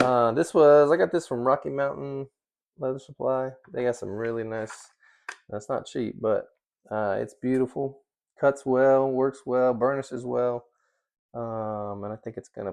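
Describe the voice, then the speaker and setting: A man mumbles at a medium pitch with ordinary pitch variation. The background is quiet. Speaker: leather crafter. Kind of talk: tutorial. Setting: workshop. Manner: mumbling; casual.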